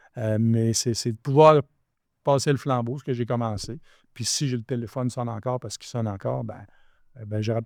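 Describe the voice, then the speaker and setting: A man of medium pitch talks fairly quickly with fairly even intonation, long, frequent pauses and big swings in loudness, on a very clean recording with a silent background and a dry, close sound with no echo. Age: 60s. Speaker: real estate developer. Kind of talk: podcast interview. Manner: halting.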